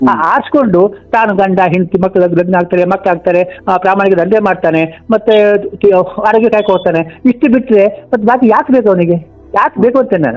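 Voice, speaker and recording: A high-pitched man at very even loudness, with noticeable background noise. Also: ordinary pitch variation. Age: 80s+. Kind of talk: phone call conversation.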